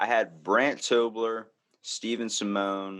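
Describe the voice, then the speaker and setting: This is a man speaking. He has a Baltimore accent. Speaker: comedy podcast host, guest. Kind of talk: casual chat.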